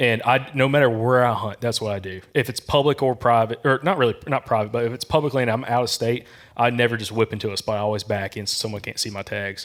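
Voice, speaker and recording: With a slight Southern US accent, the speaker talks at a very fast pace with hardly any pauses. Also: man, medium pitch for a man. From Alabama. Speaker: hunting podcast host. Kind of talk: casual chat. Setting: live audience at an expo. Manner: animated.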